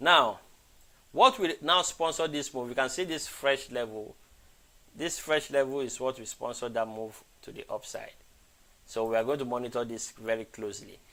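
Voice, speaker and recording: A man with a bright, sharp tone talks at medium pitch and a moderate pace. He shows ordinary pitch variation and takes long, frequent pauses. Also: big swings in loudness. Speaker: forex trading educator. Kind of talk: live trading analysis stream. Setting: live stream.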